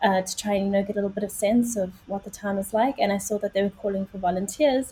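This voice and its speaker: A woman with a South African accent, medium pitch and a somewhat breathy sound, at a fairly quick pace with fairly even intonation. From South Africa, Johannesburg. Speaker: journalist and podcaster. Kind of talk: casual interview.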